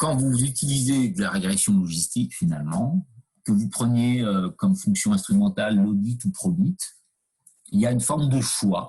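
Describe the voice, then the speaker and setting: Somewhat breathy and dark, mellow in tone, a man at medium pitch talks at a fairly slow pace with very wide pitch swings. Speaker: university lecturer. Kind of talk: lecture. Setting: video call. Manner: hesitant, many fillers.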